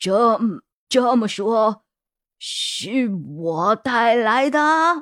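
A fairly high voice with very wide pitch swings at a very slow pace, in a dry, close sound with no echo. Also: female-sounding voice. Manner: trembling, fearful.

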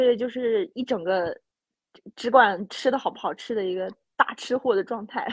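With an animated tone, a woman speaks at a moderate pace and a fairly high pitch, with ordinary pitch variation. The sound is dry and close with no echo, against a quiet background. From Inner Mongolia. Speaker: podcast host. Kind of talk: casual chat.

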